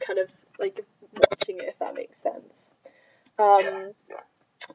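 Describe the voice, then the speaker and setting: A woman speaks with an Edinburgh accent. Her pace is fairly slow. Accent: Scottish (Edinburgh). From Scotland, Edinburgh. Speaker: student podcast host. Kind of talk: casual chat.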